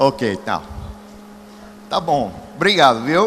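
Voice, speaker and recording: Noticeable background noise sits under a man talking at a very slow pace. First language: English (speaking Portuguese). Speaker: evangelist. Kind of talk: sermon. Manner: animated.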